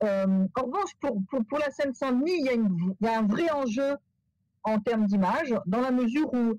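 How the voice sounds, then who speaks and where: Lively intonation marks a woman's high-pitched voice, held at very even loudness in a dry, close sound with no echo. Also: moderate pace. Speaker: professor. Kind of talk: webinar Q&A answer. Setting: video call webinar. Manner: halting, many repetitions and fillers.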